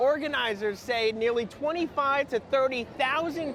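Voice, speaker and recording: A man talks over clearly noticeable background noise. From New York City (Queens). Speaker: TV news reporter. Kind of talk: news report.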